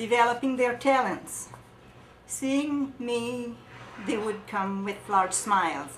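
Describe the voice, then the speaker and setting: With audible room echo and noticeable background noise, a woman speaks. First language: French. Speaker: charity volunteer. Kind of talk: testimony; reading aloud. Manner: halting.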